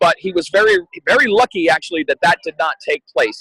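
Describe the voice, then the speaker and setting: A man's raised, projected voice in a dry, close sound with no echo. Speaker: ring announcer. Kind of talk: casual podcast interview answer. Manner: animated, talkative, energetic.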